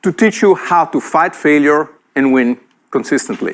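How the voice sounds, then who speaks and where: This man has a fairly high voice and speaks with an Italian accent. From Italy. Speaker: entrepreneur and speaker. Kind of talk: keynote talk. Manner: animated.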